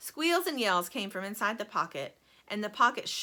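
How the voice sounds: Just a natural reading voice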